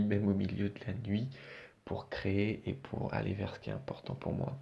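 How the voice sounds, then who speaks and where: A soft-spoken man talks at a fairly slow pace, his fairly low voice dark and mellow in tone with audible vocal fry. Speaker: podcast host and coach. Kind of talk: solo podcast monologue. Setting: isolated room at night. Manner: hesitant, many fillers.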